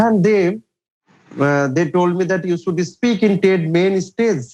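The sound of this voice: A man with a high pitch and a slightly mellow tone speaks at a fairly slow pace.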